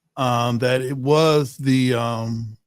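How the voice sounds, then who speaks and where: A man talks as music plays in the background. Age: 60s. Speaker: podcast host. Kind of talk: casual interview. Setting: studio.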